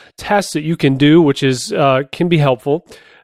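This man has an unremarkable speaking voice, fairly high for a man, with fairly even intonation and a fairly quick pace. The sound is dry and close with no echo, against a quiet background. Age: 30s. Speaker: podcast host and home recording musician. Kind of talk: tutorial. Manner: casual, frequent filler words.

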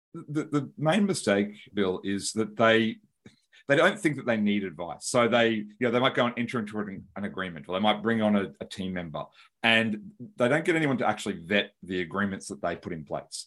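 A man talks with an Australian accent at a fairly quick pace. His fairly low pitch carries lively intonation. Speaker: lawyer and business founder. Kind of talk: podcast interview.

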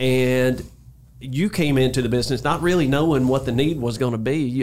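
In an ordinary speaking voice, a man talks at a medium pitch and a fairly quick pace with ordinary pitch variation. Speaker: podcast host. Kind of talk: interview. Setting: studio.

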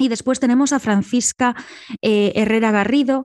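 A woman's high voice proceeds at a moderate pace. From Galicia, Ordes near A Coruña. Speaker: sociologist and writer. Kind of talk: interview.

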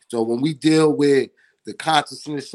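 In a normal speaking voice, a man talks at a moderate pace with fairly high pitch and ordinary pitch variation, the sound dry and close with no echo. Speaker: podcast host. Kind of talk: casual chat interview.

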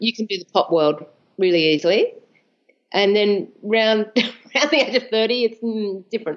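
A woman speaks with an Australian accent. Her voice is fairly high in pitch. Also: ordinary pitch variation, moderate pace. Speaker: composer. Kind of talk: interview.

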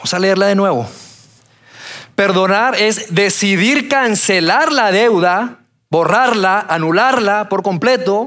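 At a very slow pace, a man with a high, bright, sharp voice keeps his loudness very even while his pitch varies in an ordinary way. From Colombia, Bogotá. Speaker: pastor. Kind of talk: sermon. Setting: church auditorium with audience.

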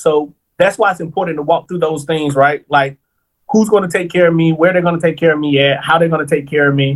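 A man's high-pitched voice carries ordinary pitch variation. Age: 30s. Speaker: long-term care insurance planner. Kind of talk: interview.

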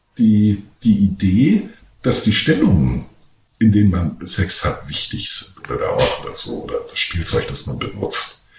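A man talks at a fairly slow pace with audible room echo around him. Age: 40s. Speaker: voice-over artist and podcast host. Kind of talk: casual chat.

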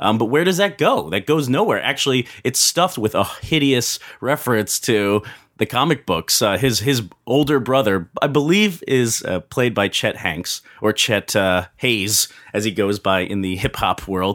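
An unremarkable speaking voice from a man, medium in pitch and lively in intonation, at a moderate pace in a very clean recording with a silent background. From Pennsylvania, Philadelphia area. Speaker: film critic podcast host. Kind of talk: casual chat, movie review.

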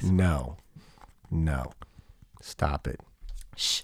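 Dry and close with no echo, a man's voice comes through. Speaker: podcast host. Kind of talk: casual chat. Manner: loud.

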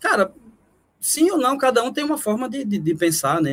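A man talks with very wide pitch swings. His voice rises and falls a great deal. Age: 40s. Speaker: horror writer. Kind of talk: casual chat.

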